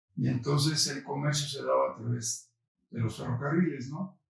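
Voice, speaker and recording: A somewhat breathy, fairly high male voice with ordinary pitch variation. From Mexico, San Luis Potosí. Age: 70s. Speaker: senate candidate. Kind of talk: interview.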